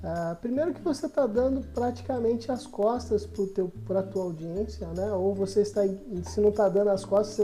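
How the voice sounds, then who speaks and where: A woman talks at a moderate pace, with audible room echo and noticeable background noise in the recording. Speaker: business trainer. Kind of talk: online course lecture. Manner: conversational with filler hesitations.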